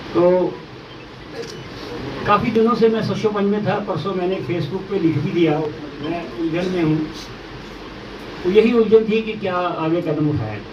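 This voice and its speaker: A man's high voice with ordinary pitch variation, long and frequent pauses, audible room echo and noticeable background noise. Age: 60s. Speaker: politician. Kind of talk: press conference statement. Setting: press conference with journalists.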